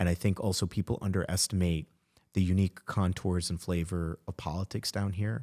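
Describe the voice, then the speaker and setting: In an American accent, a man talks at a fairly quick pace with a very deep, low pitch, a dark, mellow tone and fairly even intonation. The sound is dry and close with no echo, on a very clean recording with a silent background. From Florida, Miami. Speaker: podcast host. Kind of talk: interview conversation.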